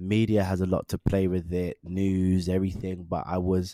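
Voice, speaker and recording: A man with a London accent speaks at a fairly low pitch in a dark, mellow tone. The sound is dry and close with no echo. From Northwest London. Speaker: actor and motion capture performer. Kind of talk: casual interview chat.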